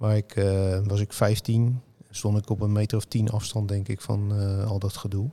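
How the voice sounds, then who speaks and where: In a very clean recording with a silent background, a man speaks at a fairly low pitch with a dark, mellow, somewhat breathy tone, monotone and flat in intonation, at very even loudness and a fairly slow pace. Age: 50s. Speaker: football journalist and author. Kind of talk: casual chat.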